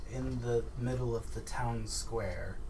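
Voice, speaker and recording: A man does a put-on character voice at a fairly slow pace. Loud background noise runs behind him. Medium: actual play. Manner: earnest, inquiring.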